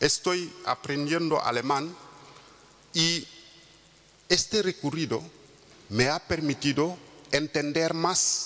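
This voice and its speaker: A man with a Wolof accent speaks at a fairly high pitch and a very slow pace. His pitch variation is ordinary, and long, frequent pauses break up his speech. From Senegal. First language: Wolof (speaking Spanish). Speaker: intercultural mediator. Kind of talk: conference talk. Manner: halting, many fillers.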